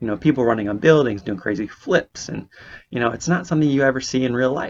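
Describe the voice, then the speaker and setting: A man with a West Coast American accent talks at a very fast pace. His pitch variation is ordinary, and the background is quiet. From California, Bay Area. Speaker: podcast host, physical therapy student. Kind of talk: podcast monologue. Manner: casual, conversational.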